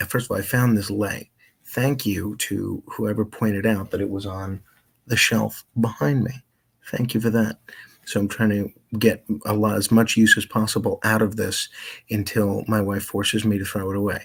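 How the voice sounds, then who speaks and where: Somewhat breathy, the voice carries an American accent at a moderate pace. Its intonation is monotone and flat. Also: man, fairly low pitch for a man. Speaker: radio host. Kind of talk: casual chat. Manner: soft-spoken.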